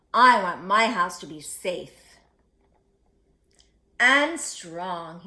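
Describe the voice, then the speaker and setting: A woman uses a put-on character voice at a medium pitch. She speaks very slowly, with long, frequent pauses. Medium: read story.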